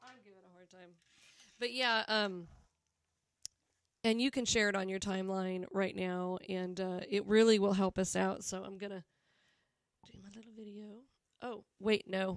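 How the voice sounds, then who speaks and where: A woman with an American accent at medium pitch and a moderate pace, with fairly even intonation, big swings in loudness and long, frequent pauses, in a dry sound with no echo and a quiet background. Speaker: band member hosting a live show. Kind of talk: casual live-stream chat. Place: home room. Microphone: studio mic.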